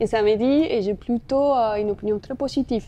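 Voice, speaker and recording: In a Spanish accent, a woman speaks at a moderate pace with fairly even intonation and a fairly high pitch. Her tone is dark and mellow, and the background is quiet. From Colombia. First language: Spanish (speaking French). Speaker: marketing executive. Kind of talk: interview.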